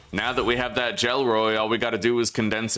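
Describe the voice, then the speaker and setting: A fairly low-pitched man amid noticeable background noise. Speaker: gaming streamer. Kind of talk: livestream gameplay commentary. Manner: loud; animated. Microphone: echo in room.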